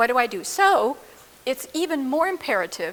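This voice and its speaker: Background noise is clearly present in this clip. The female speaker's intonation is lively. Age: 80s+. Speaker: psychologist or trauma therapist. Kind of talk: interview.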